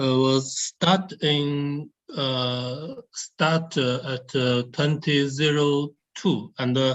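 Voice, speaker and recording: At a very slow pace, a man with a Chinese accent speaks in a fairly high pitch. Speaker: nuclear research scientist. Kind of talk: Q&A answer at webinar. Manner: halting, many hesitations.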